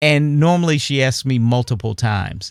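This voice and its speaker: A man's plain, everyday voice at a fairly slow pace, with ordinary pitch variation, in a very clean recording with a silent background. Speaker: online digital art teacher. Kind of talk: casual talk to camera. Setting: home studio.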